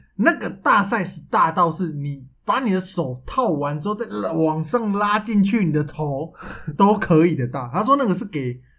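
Amid noticeable background noise, a man with a high pitch speaks at a moderate pace in an animated tone with lively intonation. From Taiwan. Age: 20s. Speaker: podcast co-host. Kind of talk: casual chat. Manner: animated, frequent laughter.

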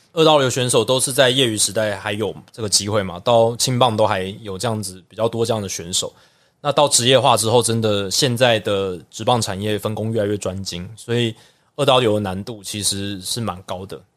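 A man with a Taiwanese accent talks at a fairly quick pace and medium pitch, with ordinary pitch variation and big swings in loudness. The recording is very clean, with a silent background. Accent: Taiwanese Mandarin. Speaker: baseball broadcaster. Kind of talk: casual interview.

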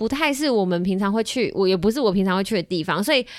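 In a very clean recording with a silent background, a woman with a normal speaking voice talks at a fairly quick pace and medium pitch, with lively intonation. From Kaohsiung, Taiwan. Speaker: podcast host. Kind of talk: casual chat. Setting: studio.

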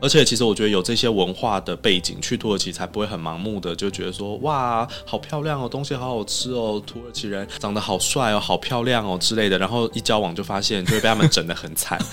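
Music plays behind a man talking at a very fast pace with hardly any pauses. His pitch is fairly low and varies in an ordinary way. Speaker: Turkey culture association head. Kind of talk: interview.

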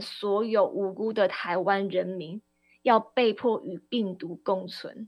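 Speaking at a very slow pace, a woman uses a medium pitch with ordinary pitch variation and big swings in loudness. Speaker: radio host and party spokesperson. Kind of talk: political talk radio commentary. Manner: impassioned.

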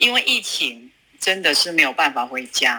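Very wide pitch swings from a woman speaking at a fairly slow pace. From China, Sichuan (Luzhou). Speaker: food business owner. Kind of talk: interview.

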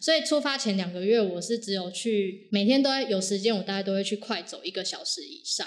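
A normal speaking voice at a moderate pace. There are hardly any pauses. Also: woman. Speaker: hiking enthusiast sharing overseas climbing experience. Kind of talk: casual interview chat.

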